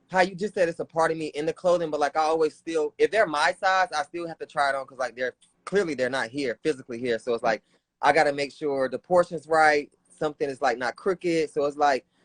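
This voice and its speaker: Here a man with a Southern US accent talks at a very fast pace in a fairly high pitch. His pitch variation is ordinary, and the sound is dry and close with no echo. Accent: Southern country. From US South, North Carolina (Raleigh). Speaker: streetwear designer. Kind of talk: casual chat.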